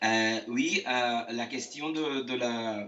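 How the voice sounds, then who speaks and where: Noticeable background noise sits behind a man speaking at a medium pitch. His intonation stays fairly even. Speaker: architect. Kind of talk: interview. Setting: video call from home. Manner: halting, many hesitations; slow.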